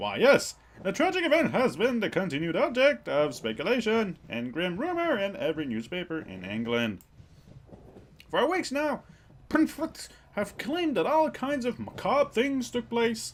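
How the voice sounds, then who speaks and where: Putting on a character voice, a man speaks at a moderate pace with a high pitch that swings very widely. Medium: game stream. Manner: proper, anxious.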